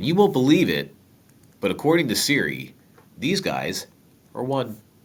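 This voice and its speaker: A man talks with very wide pitch swings at a medium pitch. His pace is moderate. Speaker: math teacher. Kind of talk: tutorial. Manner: casual, joking.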